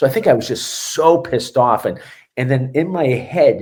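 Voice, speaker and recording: A man with a Boston accent speaks in a somewhat breathy voice. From Boston, Massachusetts. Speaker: strength and conditioning coach. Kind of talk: podcast interview. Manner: animated.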